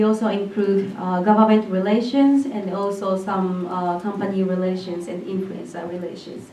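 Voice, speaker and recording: A woman with a Japanese accent at a moderate pace, amid noticeable background noise and audible room echo. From Japan, Hyogo Prefecture (Nishinomiya). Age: 20s. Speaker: entrepreneur. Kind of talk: presentation. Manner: hesitant, many fillers.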